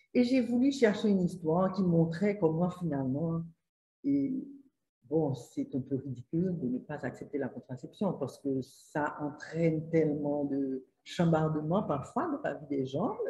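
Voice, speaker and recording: At a fairly slow pace, a woman with a Haitian accent speaks with lively intonation in a somewhat breathy, fairly low-pitched voice. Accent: Haitian French, sing-song. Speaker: author. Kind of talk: interview answer.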